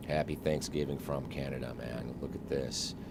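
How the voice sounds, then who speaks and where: Soft-spoken and with a very deep, low pitch, a man with an American accent talks at a fairly quick pace amid audible room echo. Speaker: flight simulator streamer. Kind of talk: live gameplay stream commentary.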